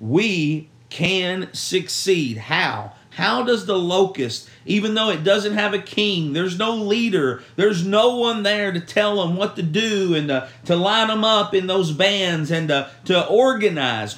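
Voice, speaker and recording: This man has a high pitch and ordinary pitch variation, speaking at a fairly slow pace. Noticeable background noise and audible room echo fill the recording. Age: 30s. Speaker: youth pastor. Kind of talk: devotional talk. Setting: at a church camp.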